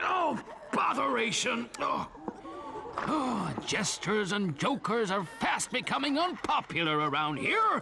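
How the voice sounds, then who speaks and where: A man in a cartoonish character voice speaks at a fairly slow pace, his pitch high and his tone warm, over clear background noise. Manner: chuckling, warm.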